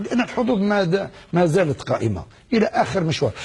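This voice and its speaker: The speaker is a man. He uses lively intonation. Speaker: former footballer. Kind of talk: TV interview answer.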